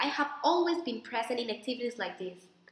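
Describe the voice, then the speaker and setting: Over noticeable background noise and audible room echo, a woman with a high pitch talks at a fairly quick pace with ordinary pitch variation. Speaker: applicant in a practice interview. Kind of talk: mock interview, rehearsed answers. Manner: formal.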